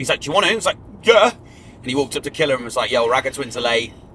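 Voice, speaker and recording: Very wide pitch swings mark this man's speech. He talks at a very fast pace. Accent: English. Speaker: drum and bass MC. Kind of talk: casual chat. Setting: in a car.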